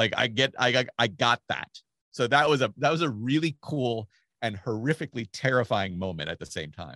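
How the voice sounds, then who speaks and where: A man of medium pitch talks at a moderate pace with lively intonation. The sound is dry and close with no echo, over a quiet background. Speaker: tennis commentator. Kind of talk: casual chat. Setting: video call. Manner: soft-spoken.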